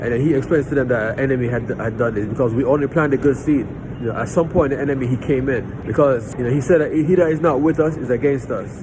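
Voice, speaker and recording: A man talks fairly quickly with ordinary pitch variation, audible room echo and noticeable background noise around him. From Jamaica. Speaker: lay preacher. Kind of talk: storytelling; informal Bible teaching. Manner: halting, with many repeated words.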